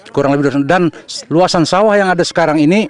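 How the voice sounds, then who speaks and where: A man speaks in a high voice with ordinary pitch variation over noticeable background noise. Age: 60s. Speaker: farmer. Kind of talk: interview. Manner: halting.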